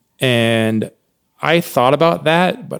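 In a normal speaking voice, a man with an American accent talks at a medium pitch with lively intonation. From Oregon, US. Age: 30s. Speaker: jazz trumpet player. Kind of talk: casual interview.

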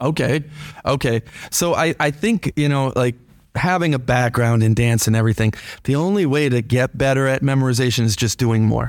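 Talking at a fairly quick pace with an American accent, a man has a normal speaking voice, medium in pitch with ordinary pitch variation and very even loudness. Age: 40s. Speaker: teacher hosting school radio show. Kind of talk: casual interview. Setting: studio.

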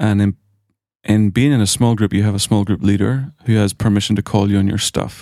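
In a very clean recording with a silent background, a man with an Irish accent speaks at a fairly quick pace and a fairly low pitch, with ordinary pitch variation and very even loudness. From Ireland. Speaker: graduate of a ministry school. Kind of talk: casual chat. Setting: studio.

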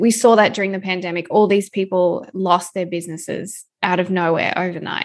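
A woman speaks with an Australian accent at a moderate pace. Her intonation stays fairly even against a quiet background. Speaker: food photographer and educator. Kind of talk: interview.

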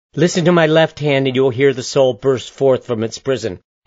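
The reading aloud is plain, with intonation kept fairly even.

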